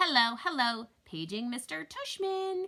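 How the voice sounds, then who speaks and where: Using a put-on character voice, a female-sounding speaker goes slowly, at a high pitch with very wide pitch swings. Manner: fake, comic.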